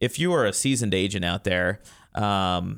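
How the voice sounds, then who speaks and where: A man with an unremarkable speaking voice and an American accent at a moderate pace, on a very clean recording with a silent background. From Colorado (Crested Butte). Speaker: real estate managing broker. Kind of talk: radio interview. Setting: studio.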